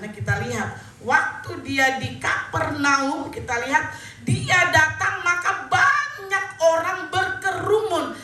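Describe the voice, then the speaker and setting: A woman with an extremely high pitch projects her raised voice at a very slow pace with lively intonation, amid audible room echo and noticeable background noise. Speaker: pastor. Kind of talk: sermon. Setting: church.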